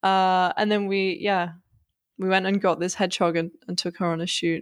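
With a northern English accent, a woman talks at a moderate pace and medium pitch, keeping her intonation fairly even. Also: very clean recording, silent background. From northern England. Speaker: 3D artist and designer. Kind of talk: casual interview chat.

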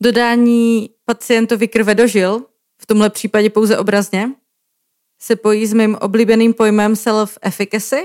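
In a dry, close recording with no echo, a woman with a fairly high pitch speaks in a monotone, flat intonation at very even loudness. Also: moderate pace. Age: 30s. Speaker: podcast host, co-founder of a healthcare communication portal. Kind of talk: scripted podcast narration.

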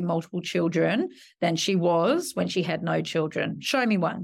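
A woman speaks with an Australian accent at a fairly low pitch, with vocal fry. The recording is very clean, with a silent background. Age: 40s. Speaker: media executive. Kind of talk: interview.

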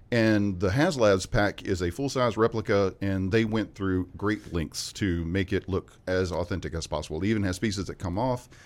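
A fairly low-pitched man with a Southern US accent, hardly any pauses, and a very clean recording over a silent background. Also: ordinary pitch variation, moderate pace. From West Memphis, Arkansas. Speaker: ghostbusters fan club member. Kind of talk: casual interview chat. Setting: studio.

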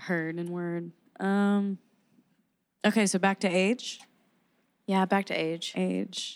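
Speaking very slowly with long, frequent pauses, a woman keeps a medium pitch and a flat, monotone delivery on a very clean recording with a silent background. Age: 20s. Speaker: podcast co-host. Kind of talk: casual chat. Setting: in a car.

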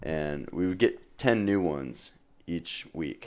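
A man does the talking. Ordinary variation shows in his pitch. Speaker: podcast guest. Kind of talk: casual chat.

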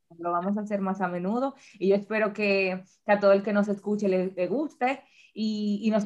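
A woman talks in an ordinary speaking voice at medium pitch and a moderate pace, with fairly even intonation. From Dominican Republic. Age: 30s. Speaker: podcast co-host. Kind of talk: casual chat.

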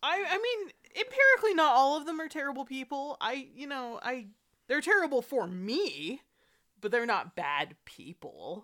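Raised and projected, a woman's high-pitched voice carries a bright, sharp tone at a moderate pace. Her pitch swings very widely and her loudness rises and falls in big swings. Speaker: podcast co-host. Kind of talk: casual chat with commentary.

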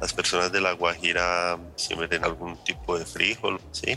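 A man's very deep, low voice at a fairly slow pace, over noticeable background noise. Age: 30s. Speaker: agronomist. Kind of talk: interview.

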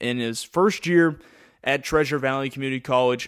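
A man with an ordinary speaking voice and a fairly high pitch speaks at a moderate pace with ordinary pitch variation in a very clean recording with a silent background. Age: 20s. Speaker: baseball play-by-play announcer and podcast host. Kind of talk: sports podcast roster rundown.

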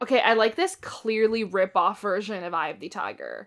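A woman speaks in an animated tone with a fairly high pitch and lively intonation. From Canada. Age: 20s. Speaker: horror movie podcast co-host. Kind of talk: casual chat.

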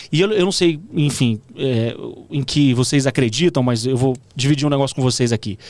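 A man with an ordinary speaking voice talks at a moderate pace in a medium pitch. His loudness stays very even, with ordinary pitch variation. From Goiânia, Brazil. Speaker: TV presenter and journalist. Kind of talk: casual interview chat.

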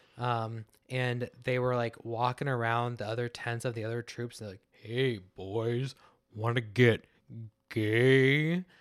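A man talks at a very slow pace in a medium-pitched voice. The recording is very clean, with a silent background. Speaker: podcast co-host. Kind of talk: casual chat. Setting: studio. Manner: energetic, wired.

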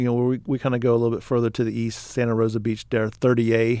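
A man with a Texan accent talks at a fairly quick pace. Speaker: podcast co-host, apparel business co-founder. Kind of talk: casual chat.

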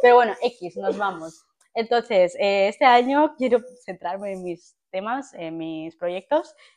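In an unremarkable speaking voice, a woman with a medium pitch talks at a fairly slow pace with lively intonation and big swings in loudness. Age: 20s. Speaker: podcast co-host. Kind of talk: casual chat.

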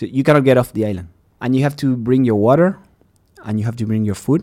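A man's medium-pitched voice with a Spanish accent and ordinary pitch variation. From Uruguay. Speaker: podcast host and scientist. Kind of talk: casual chat.

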